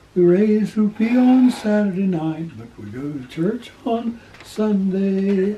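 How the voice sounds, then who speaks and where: Over noticeable background noise, a man with a high pitch and an American accent speaks very slowly with ordinary pitch variation and big swings in loudness. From rural Ohio. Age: 80s+. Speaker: evangelist missionary. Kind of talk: interview answer.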